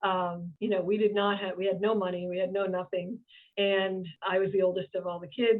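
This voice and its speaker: In an American accent, a woman speaks at a medium pitch and a fairly quick pace. Her intonation is monotone and flat. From Boston, Massachusetts. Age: 60s. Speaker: business owner and CEO. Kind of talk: interview conversation. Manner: halting, many fillers.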